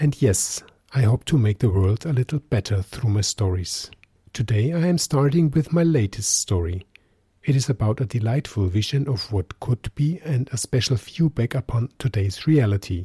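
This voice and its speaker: A man speaks at medium pitch and a moderate pace, his tone dark and mellow and somewhat breathy. His intonation is lively, his loudness very even, and the sound dry and close with no echo. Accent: German. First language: German. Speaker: podcast host and storyteller. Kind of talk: podcast introduction.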